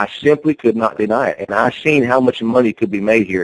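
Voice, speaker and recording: With a Southern US accent, a man speaks at a fairly quick pace in a medium pitch with ordinary variation, the sound dry and close with no echo. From North Carolina. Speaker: network marketing promoter. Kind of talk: conference call sales pitch. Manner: animated.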